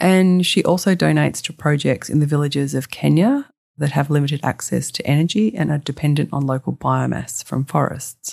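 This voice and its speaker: With an Australian accent, the speaker moves at a fairly quick pace with hardly any pauses, in a very clean recording with a silent background. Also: woman. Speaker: podcast host, sustainable fashion consultant. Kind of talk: scripted solo podcast narration.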